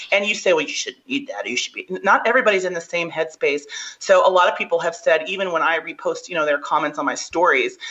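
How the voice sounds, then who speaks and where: Noticeable background noise surrounds a woman's voice. She talks at a very fast pace in an animated tone. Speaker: strongwoman athlete. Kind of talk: podcast interview.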